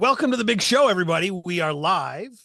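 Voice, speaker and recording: Putting on a character voice, a man talks in a raised, projected voice at a fairly quick pace and a high pitch. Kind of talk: radio host, upbeat.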